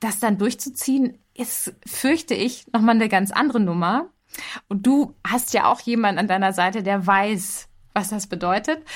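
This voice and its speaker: The recording is very clean, with a silent background. A woman speaks at a fairly slow pace in a fairly high pitch with ordinary pitch variation. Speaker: podcast host. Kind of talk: casual chat. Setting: home office. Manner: changes pitch when mic on.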